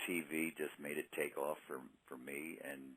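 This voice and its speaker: Speaking at a moderate pace, a man uses a very deep, low pitch with vocal fry. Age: 70s. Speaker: boxing ring announcer. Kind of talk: interview answer.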